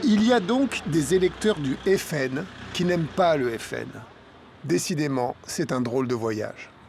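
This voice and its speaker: There is noticeable background noise as a man speaks at a fairly high pitch. He goes very slowly, and his pitch swings very widely. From Portugal. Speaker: documentary filmmaker. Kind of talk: documentary narration.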